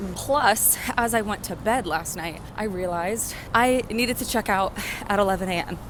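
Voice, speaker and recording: A woman at medium pitch and moderate pace over noticeable background noise. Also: ordinary pitch variation. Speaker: travel vlogger. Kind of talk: casual vlog talk to camera.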